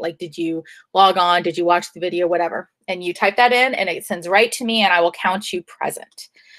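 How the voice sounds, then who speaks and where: A woman's normal speaking voice at medium pitch, with fairly even intonation. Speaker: high school teacher. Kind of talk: online class lesson.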